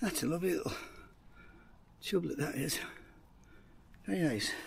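With vocal fry and lively intonation, a man in a Teesside accent speaks at a moderate pace and a fairly high pitch. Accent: Teesside, northern English.

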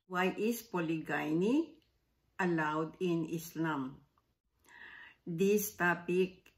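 Speaking at a very slow pace with long, frequent pauses, a woman has a fairly low pitch. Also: ordinary pitch variation, quiet background. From Philippines. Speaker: retired educator, reaction video host. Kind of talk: casual talk to camera. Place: home room. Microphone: phone near.

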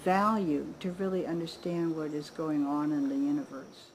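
A woman speaks at a fairly slow pace in a somewhat breathy voice with very wide pitch swings, over light background noise. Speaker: interviewee. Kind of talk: interview answer. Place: garden.

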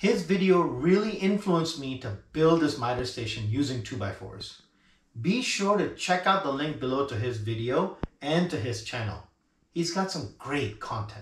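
A man speaks with audible room echo. Light background noise can be heard. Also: moderate pace. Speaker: woodworking channel host. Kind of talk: casual vlog intro. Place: workshop.

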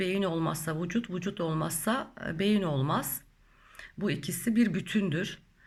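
A woman's somewhat breathy, fairly low voice at a fairly slow pace, with ordinary pitch variation. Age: 40s. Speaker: spiritual YouTuber. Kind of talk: Q&A monologue. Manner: halting, many filler sounds.

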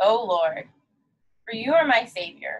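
The voice has a calm, soothing tone at a very slow pace, over light background noise. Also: woman. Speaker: yoga instructor. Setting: online video class, solo instructor. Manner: calm, soothing, gentle cueing; warm, friendly, encouraging. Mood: calm, soft, devotional. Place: studio. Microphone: camera far.

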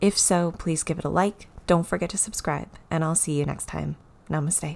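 A woman's very deep, low pitch at a fairly quick pace with ordinary pitch variation. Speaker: yoga and meditation teacher. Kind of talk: guided meditation. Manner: gentle, instructional. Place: home room.

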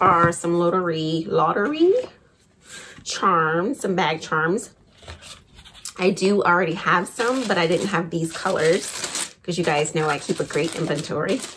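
A woman with a fairly low pitch speaks at a fairly slow pace with ordinary pitch variation and long, frequent pauses over noticeable background noise. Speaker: shopping haul vlogger. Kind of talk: casual vlog chat. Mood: cheerful, chatty. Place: home room. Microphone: phone near.

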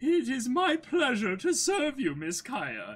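A man's put-on character voice, extremely high in pitch, at a fairly slow pace. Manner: servile, polite.

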